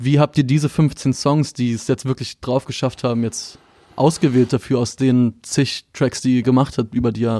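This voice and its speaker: Recorded very cleanly against a silent background, a man speaks at medium pitch and a moderate pace, his tone dark and mellow, his intonation fairly even and the sound dry and close with no echo. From Berlin (Moabit). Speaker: music magazine interviewer. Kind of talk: casual interview.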